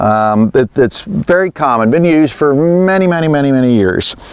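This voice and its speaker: A man's normal speaking voice, fairly high-pitched, with lively intonation at a moderate pace. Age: 60s. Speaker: farmer. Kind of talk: tutorial. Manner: casual.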